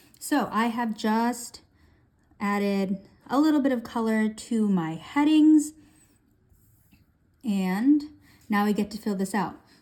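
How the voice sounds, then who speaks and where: The voice is dark, mellow and somewhat breathy, moving at a very slow pace. Long, frequent pauses break up the speech. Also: woman, fairly high pitch for a woman, ordinary pitch variation. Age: 20s. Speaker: budgeting YouTuber. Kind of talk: casual tutorial.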